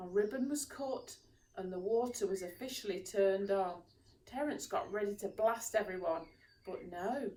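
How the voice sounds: The voice reads aloud. It sounds like a natural reading voice.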